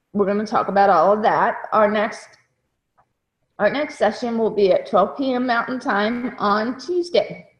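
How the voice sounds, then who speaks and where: Somewhat breathy and fairly high-pitched, a woman speaks at a moderate pace with lively intonation. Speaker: online course instructor. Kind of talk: online class session.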